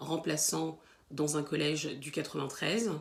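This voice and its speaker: Speaking fairly slowly, the woman has a very deep, low pitch. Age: 30s. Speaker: teacher. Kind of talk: self-introduction to camera. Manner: hesitant, many fillers and repeated words.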